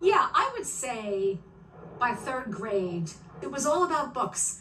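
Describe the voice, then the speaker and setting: Over noticeable background noise, a woman with a New York accent talks at a very slow pace, using a high pitch and very wide pitch swings. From New York City. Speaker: author and stand-up comedian. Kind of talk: interview. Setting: video podcast.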